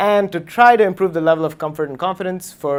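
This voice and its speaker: Lively intonation marks a man's fairly quick speech. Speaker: tech meetup speaker, computer engineer. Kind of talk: lightning talk presentation. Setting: meetup with live audience. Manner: fast.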